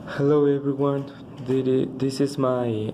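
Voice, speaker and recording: The background noise is noticeable. Over it, a man talks at a very slow pace. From Mexico, Mexico City. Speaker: language student. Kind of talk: spoken language exam answers. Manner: halting, many fillers and restarts.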